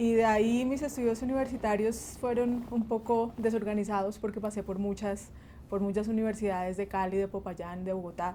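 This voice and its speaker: This woman's voice sits fairly high. The tone is dark and mellow. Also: fairly even intonation, moderate pace. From Colombia, Huila (Pitalito), born in Barranquilla. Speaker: bassist and music teacher. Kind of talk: interview.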